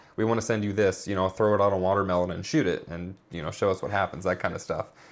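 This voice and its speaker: A man with an American accent speaks in a normal speaking voice. His pitch is fairly low and his intonation fairly even. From Indiana. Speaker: filmmaker. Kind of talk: casual interview.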